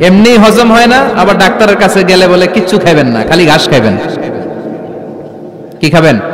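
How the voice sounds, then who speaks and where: Noticeable background noise sits behind a man speaking in an animated tone with lively intonation. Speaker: Islamic preacher. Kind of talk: Islamic sermon (waz) to a live audience. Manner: animated, rhetorical, audience-engaging.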